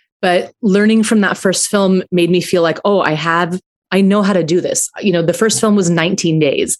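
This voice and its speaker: A woman with an American accent speaks in a normal speaking voice at medium pitch and a moderate pace, her loudness very even and her intonation fairly even, in a dry, close sound with no echo. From US, Aurora, Colorado. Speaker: film writer and director. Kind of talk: interview.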